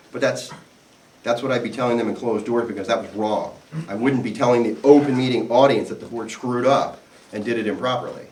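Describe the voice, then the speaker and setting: A man talks at a very fast pace with fairly even intonation. Noticeable background noise and audible room echo fill the recording. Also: medium pitch for a man. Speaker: attorney presenting to HOA board members. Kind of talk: seminar presentation with audience Q&A. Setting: live seminar audience, also recorded on video. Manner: conversational, self-correcting.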